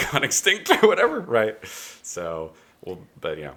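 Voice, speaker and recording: A man is talking here. His speech carries an American accent. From Northern California, Butte County. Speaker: film grip and aspiring actor. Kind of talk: casual chat.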